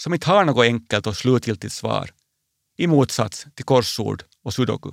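With a Finland-Swedish accent, a man at medium pitch speaks at a moderate pace with ordinary pitch variation, in a dry, close sound with no echo on a very clean recording with a silent background. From Finland, Swedish-speaking (Porvoo area). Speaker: bishop. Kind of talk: personal radio essay. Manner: calm, reflective.

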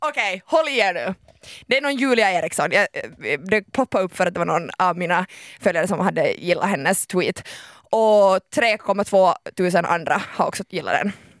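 In a dry, close sound with no echo, a woman of medium pitch talks in an animated tone with lively intonation at a moderate pace. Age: 20s. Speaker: radio host. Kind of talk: casual chat. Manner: halting.

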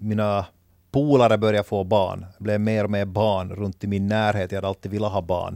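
Recorded very cleanly against a silent background, a man's plain, everyday voice sits at a fairly low pitch and moderate pace, with a dry, close sound and no echo. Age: 30s. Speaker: new father. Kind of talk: casual chat.

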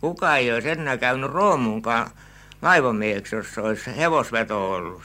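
The tone here is bright and sharp. It belongs to a man whose pitch sits in the medium range. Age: 80s+. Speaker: retired canal keeper. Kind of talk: informal interview recollection. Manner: slow, rambling, halting.

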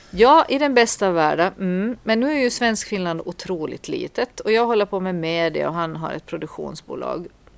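At a moderate pace, a woman with an unremarkable speaking voice talks at a medium pitch with lively intonation. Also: hardly any pauses. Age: 40s. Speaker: podcast co-host, priest. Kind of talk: casual chat.

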